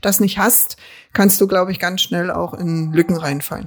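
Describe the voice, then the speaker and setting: A woman at a medium pitch and a very fast pace. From Berlin, Treptow-Köpenick. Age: 50s. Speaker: local politician and social worker. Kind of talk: casual interview.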